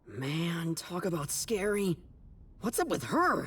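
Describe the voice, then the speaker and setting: Raspy and middle-pitched, this put-on character voice moves at a fairly slow pace. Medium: video game.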